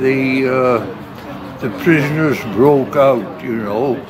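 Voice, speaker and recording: A man talks at a very slow pace. Audible room echo and noticeable background noise surround his voice. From South Wales, Port Talbot. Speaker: elderly eyewitness. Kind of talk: oral history interview. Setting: public heritage open event. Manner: halting, many hesitations.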